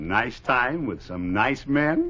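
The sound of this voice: A man's put-on character voice, medium in pitch, with a bright, sharp tone and a slow pace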